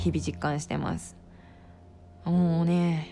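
A woman speaks in a relaxed tone with music playing in the background. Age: 30s. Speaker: podcast host. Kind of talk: casual solo talk.

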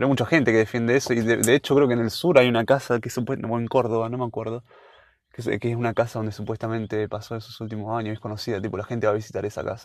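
In a Rioplatense accent, a man talks at a very fast pace with fairly even intonation and big swings in loudness, against a quiet background. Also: medium pitch for a man. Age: 20s. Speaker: university student. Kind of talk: casual chat.

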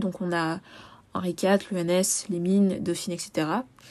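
In a very clean recording with a silent background, a woman speaks in a dark, mellow tone. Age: 20s. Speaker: podcast host, sociology student. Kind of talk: solo podcast monologue. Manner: casual, with frequent hesitations.

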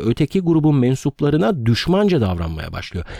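Fairly quick speech from a man with a fairly high pitch and a dark, mellow tone, dry and close with no echo. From Turkey, Ödemiş (İzmir), Aegean region. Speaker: history and culture podcaster. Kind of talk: storytelling narration. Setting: makeshift room recording, away from home studio.

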